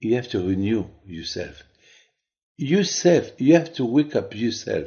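Over a quiet background, a man speaks in a somewhat breathy voice with very wide pitch swings. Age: 70s. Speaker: rabbi. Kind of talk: sermon. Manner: halting.

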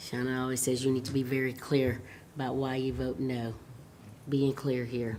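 Mumbled in a put-on character voice at a moderate pace, with low-to-middle pitch, monotone, flat intonation and clear background noise. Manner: mumbling, muffled.

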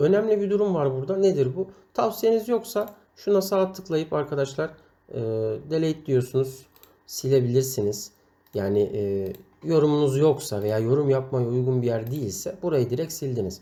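This man's voice has a dark, mellow tone and very wide pitch swings. He speaks at a moderate pace. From Turkey, Amasya. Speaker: website editor training writers. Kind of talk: tutorial.

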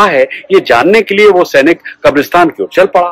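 Speaking at a fairly slow pace with lively intonation, a man is heard in dry sound with no echo against a quiet background. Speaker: storyteller. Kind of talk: storytelling narration. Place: garden. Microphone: phone near.

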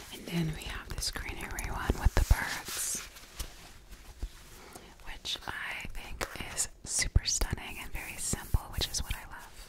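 Whispering at a fairly slow pace, a woman leaves long, frequent pauses, her loudness swinging widely. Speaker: ASMR creator. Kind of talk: ASMR whisper talk to camera. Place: home room. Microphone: studio mic.

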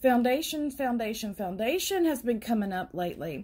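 A woman's voice, somewhat breathy, with a dark, mellow tone. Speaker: tarot reader. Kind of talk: tarot reading commentary. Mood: calm and encouraging. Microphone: phone near.

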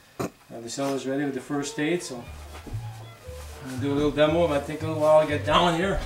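A man's fairly high voice with ordinary pitch variation and hardly any pauses, set against clear music in the background. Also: fairly quick pace. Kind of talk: casual martial arts demonstration talk. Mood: joking, light-hearted. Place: home room. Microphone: camera far.

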